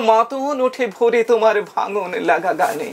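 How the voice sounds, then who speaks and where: Noticeable background noise sits behind a man speaking at an extremely high pitch. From West Bengal, India. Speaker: reciter and audio drama performer. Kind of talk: poetry reading.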